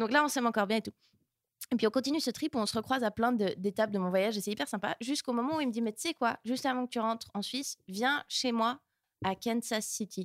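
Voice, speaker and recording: A woman speaks at a very fast pace with a fairly high pitch and ordinary pitch variation. The recording is very clean with a silent background, and the sound is dry and close with no echo. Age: 20s. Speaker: stand-up comedian. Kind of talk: casual chat.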